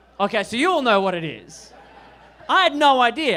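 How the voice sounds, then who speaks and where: At a moderate pace, a man with an Australian accent speaks at an extremely high pitch with very wide pitch swings. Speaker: stand-up comedian. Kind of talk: stand-up. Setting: stage with audience.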